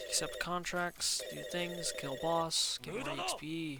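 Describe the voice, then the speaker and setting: Music plays in the background as a man talks. His pitch is high and his intonation monotone and flat. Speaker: gaming YouTuber. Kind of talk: game review commentary. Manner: hesitant with filler words.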